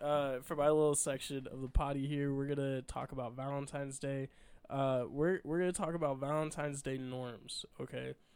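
A man with an American accent uses an unremarkable speaking voice at a fairly high pitch. He talks at a moderate pace with fairly even intonation. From Illinois. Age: 20s. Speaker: air force member and podcast co-host. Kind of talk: casual chat.

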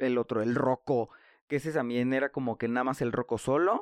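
A man with a Mexican accent talks at a medium pitch, with a dry, close sound with no echo and a quiet background. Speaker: podcast host. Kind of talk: casual monologue. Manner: animated.

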